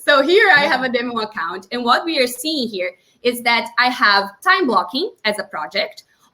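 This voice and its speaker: A woman with a Portuguese accent speaks at a moderate pace in a high pitch, her tone bright and sharp and her intonation lively. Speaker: time-management consultant. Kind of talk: tutorial.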